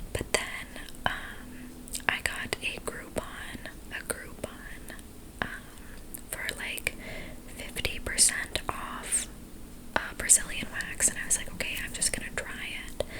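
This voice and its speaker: Breathy whispering comes at a very slow pace with long, frequent pauses against noticeable background noise. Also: woman. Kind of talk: ASMR makeup ramble. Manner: whispered, slow, breathy.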